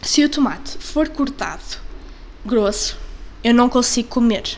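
A woman with a European Portuguese accent speaks at a very slow pace in a high pitch. Audible room echo and noticeable background noise fill the recording. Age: 20s. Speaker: podcast host. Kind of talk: casual monologue. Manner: halting.

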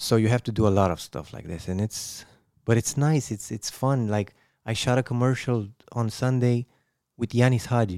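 On a very clean recording with a silent background, a man with medium pitch and a dark, mellow tone speaks at a moderate pace with ordinary pitch variation. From Romania, Bucharest. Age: 30s. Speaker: actor. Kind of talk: casual chat.

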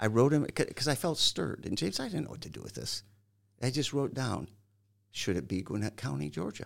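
A man with an American accent and vocal fry talks at a medium pitch and a fairly quick pace, with very wide pitch swings and big swings in loudness, on a very clean recording with a silent background. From Michigan. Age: 60s. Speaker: pastor. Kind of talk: interview.

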